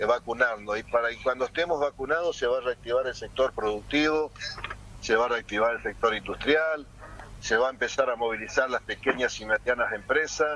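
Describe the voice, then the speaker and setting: Fairly even intonation at a fairly quick pace, over noticeable background noise. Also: man, medium pitch for a man. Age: 60s. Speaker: mayor and political candidate. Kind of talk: interview. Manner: hesitant, many fillers.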